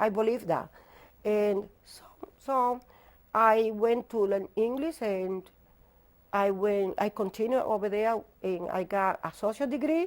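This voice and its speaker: With a strong non-native accent, a woman speaks at a fairly slow pace and a fairly high pitch, with ordinary pitch variation, big swings in loudness, and long, frequent pauses. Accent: heavy non-native English. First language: not English. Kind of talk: testimony.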